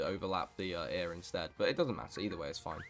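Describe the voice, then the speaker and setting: With music in the background, a man with a very deep, low pitch talks at a very fast pace using ordinary pitch variation. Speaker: gaming streamer. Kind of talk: casual livestream chat. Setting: livestream. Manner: halting.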